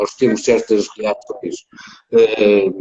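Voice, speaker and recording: A man with a European Portuguese accent is heard in a dry, close sound with no echo. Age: 60s. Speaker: former goalkeeper and football pundit. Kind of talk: interview conversation.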